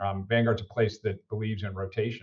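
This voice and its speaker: With an American accent, a man speaks in a somewhat breathy voice at a fairly low pitch with monotone, flat intonation. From United States. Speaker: finance executive. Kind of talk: podcast interview. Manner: frequent fillers and repetitions.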